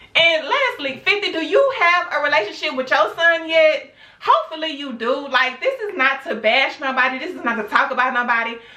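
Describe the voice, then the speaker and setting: Lively and high-pitched, a woman projects a raised voice at a fairly quick pace with hardly any pauses. Audible room echo and noticeable background noise fill the recording. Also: big swings in loudness. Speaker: YouTube vlogger. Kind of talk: opinion rant vlog. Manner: loud, yelling; animated. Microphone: camera's built-in mic, no external microphone.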